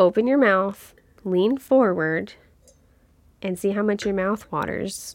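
With a Kentucky accent, a woman speaks at a moderate pace and a medium pitch with ordinary pitch variation, recorded with a dry, close sound with no echo, very clean and with a silent background. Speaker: wine podcast co-host. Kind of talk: casual chat. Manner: animated.

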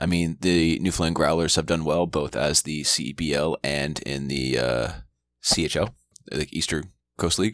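Vocal fry runs through a man's very deep, low voice. The background is silent and the recording very clean. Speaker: sports podcast co-host. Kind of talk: casual chat.

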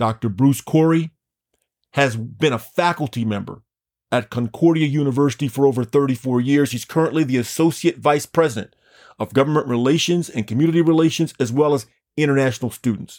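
This man talks at a fairly quick pace in an enthusiastic tone, his fairly high pitch showing ordinary variation. The very clean recording has a silent background and a dry, close sound with no echo. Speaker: podcast host and founder of an anti-racism group. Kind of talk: live on-site interview. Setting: live at a booth at a state fair.

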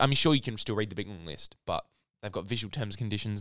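A man with an Australian accent at a fairly low pitch, ordinary pitch variation, in a very clean recording with a silent background and a dry, close sound with no echo. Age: young. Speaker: podcast co-host. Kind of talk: casual chat.

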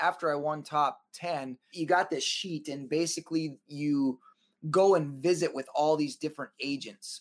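A man with an American accent and a normal speaking voice, fairly high-pitched, with ordinary pitch variation, on a very clean recording with a silent background. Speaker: professional dancer and performer. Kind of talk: interview storytelling.

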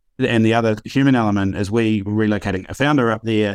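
Talking at a very fast pace with a New Zealand accent, a man keeps a fairly low pitch and fairly even intonation on a very clean recording with a silent background. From northern New Zealand and Auckland. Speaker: startup founder and CEO. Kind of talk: casual interview chat.

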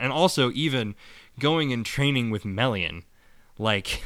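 A man speaks fairly slowly in an unremarkable speaking voice, with ordinary pitch variation. The recording is very clean, with a silent background. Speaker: podcast co-host. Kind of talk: casual chat.

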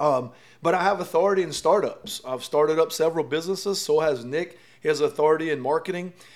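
At a very fast pace, a man talks in a fairly high voice with ordinary pitch variation. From South Louisiana (Lafourche Parish). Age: 40s. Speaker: podcast host, entrepreneur. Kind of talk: casual chat.

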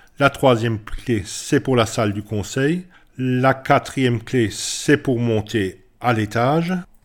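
A man at medium pitch with ordinary pitch variation and a very slow pace, on a very clean recording with a silent background. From Alsace, France. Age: 50s. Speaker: village mayor, former baker. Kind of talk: interview. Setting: town hall.

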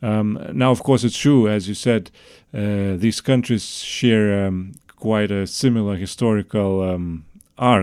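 In a very clean recording with a silent background, a man speaks fairly slowly with a Lithuanian accent and fairly even intonation. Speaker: political researcher. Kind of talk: podcast interview. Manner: halting.

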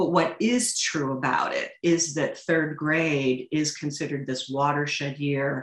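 A woman's very deep, low voice in a Midwestern American accent, at a fairly slow pace with hardly any pauses and ordinary pitch variation. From St. Louis, Missouri. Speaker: literature teacher and author. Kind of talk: interview conversation.

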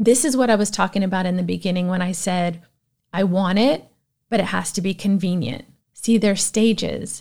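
At a moderate pace, a woman with a plain, everyday voice talks at a medium pitch with ordinary pitch variation on a very clean recording with a silent background. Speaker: podcast host. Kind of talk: solo monologue, personal talk. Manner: conversational, motivational.

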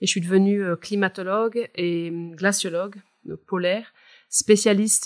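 A woman speaks at a medium pitch in a flat monotone, recorded very cleanly against a silent background with a dry, close sound and no echo. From Switzerland, Val de Travers, canton of Neuchâtel. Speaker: climate scientist. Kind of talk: expert interview.

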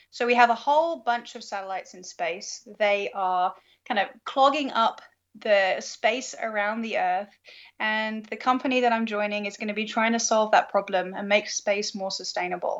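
With a British accent, a woman speaks at a fairly high pitch with ordinary pitch variation. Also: moderate pace. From UK. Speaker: planetary science graduate student. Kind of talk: interview.

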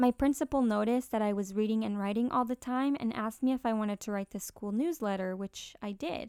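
With a Spanish accent, a woman talks at a very fast pace with hardly any pauses, at a fairly high pitch with ordinary pitch variation and a dark, mellow tone. The recording is very clean with a silent background and a dry, close sound with no echo. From Mexico until age ten, then Canadian prairies. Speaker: podcast host. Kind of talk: scripted narration. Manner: warm, conversational.

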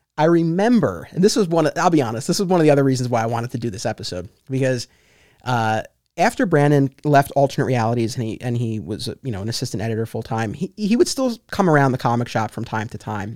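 With a dry, close sound and no echo, a man at a medium pitch speaks very fast with lively intonation. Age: 30s. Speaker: podcast host. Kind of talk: casual chat. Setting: video call.

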